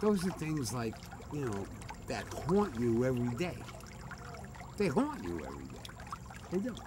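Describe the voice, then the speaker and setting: With very wide pitch swings and long, frequent pauses, a man talks at a moderate pace in an American accent and a medium pitch. Audible room echo and noticeable background noise surround him. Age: 60s. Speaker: former mobster. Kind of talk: casual chat.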